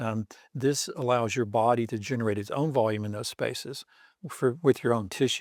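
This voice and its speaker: A man at medium pitch with a plain, everyday voice, fairly even intonation and a moderate pace, in a very clean recording with a silent background. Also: dry, close sound with no echo. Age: 60s. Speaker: doctor. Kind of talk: interview. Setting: studio.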